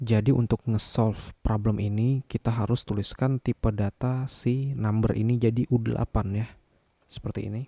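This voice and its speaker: A man talks at medium pitch with a dark, mellow tone. His intonation is monotone and flat. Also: moderate pace. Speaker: programming tutor. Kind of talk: coding tutorial narration.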